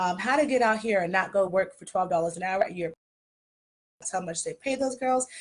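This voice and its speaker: Against a quiet background, a woman speaks at a fairly quick pace in a somewhat breathy voice of medium pitch. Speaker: esthetician and skincare business owner. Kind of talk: live stream Q&A. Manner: fast; casual.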